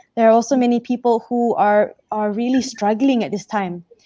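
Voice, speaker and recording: A woman speaks at a moderate pace in a dark, mellow tone, her intonation fairly even. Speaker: guest. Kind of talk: interview answer. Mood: reflective, warm. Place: home room. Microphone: video call.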